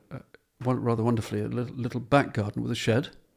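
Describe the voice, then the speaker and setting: Fairly even intonation from a man at medium pitch with a southern English accent. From southern England, Portsmouth. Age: 70s. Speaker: painter. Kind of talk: interview.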